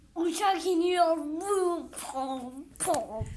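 Someone uses a put-on character voice at an extremely high pitch. The tone is playful, and an echo is audible. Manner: playful sound effects.

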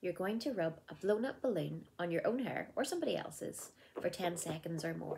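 Over light background noise, a woman with a fairly low pitch and a dark, mellow tone speaks at a moderate pace with lively intonation and vocal fry. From Northern Ireland. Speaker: primary school teacher and circus performer. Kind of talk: children's craft tutorial to camera. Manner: upbeat, friendly. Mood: cheerful, warm. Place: home room. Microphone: phone near.

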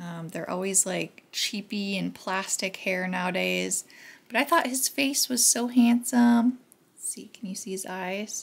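A woman speaks at a fairly slow pace, somewhat breathy. Her loudness swings widely. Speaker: thrift haul vlogger. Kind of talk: casual vlog chat. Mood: pleased, enthusiastic. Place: kitchen. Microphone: camera far.

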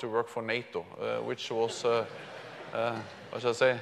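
Moderate is the pace at which this man talks. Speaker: keynote speaker. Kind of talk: speech. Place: hall. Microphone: lapel.

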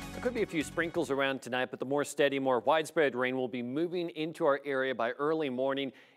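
Over faint music in the background, a man with a fairly high pitch and ordinary pitch variation talks at a very fast pace with hardly any pauses. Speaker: TV meteorologist. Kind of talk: weather report. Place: studio.

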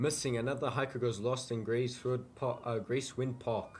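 Over light background noise, a somewhat breathy voice moves at a fairly quick pace. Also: man. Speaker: gamer. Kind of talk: gaming commentary, let's play. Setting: gameplay recording voiceover. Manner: animated, excitable, casual; filler-heavy, slangy, spooked. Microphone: headset.

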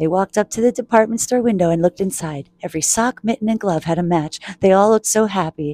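Pitch moves in an ordinary way through this unforced reading voice.

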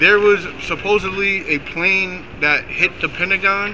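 Someone with a New York accent speaks in a raised, projected voice over noticeable background noise. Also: man. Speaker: protest participant. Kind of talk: street debate. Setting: outdoors. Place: street. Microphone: camera far.

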